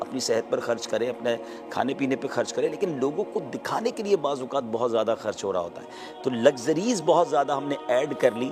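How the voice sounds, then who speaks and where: Music plays in the background. A man speaks at a fairly high pitch with lively intonation. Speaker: Islamic scholar. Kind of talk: interview answer.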